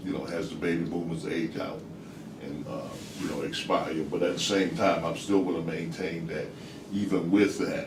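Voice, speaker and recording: A man with an American accent and a very deep, low pitch, amid noticeable background noise and audible room echo. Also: ordinary pitch variation, moderate pace. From United States. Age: 60s. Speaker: discussion participant. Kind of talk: group discussion. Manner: halting, repetitive.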